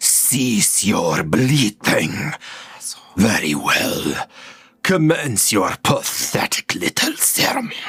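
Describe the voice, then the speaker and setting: Using a put-on character voice, a man speaks at a medium pitch. His pace is very slow. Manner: contemptuous, commanding.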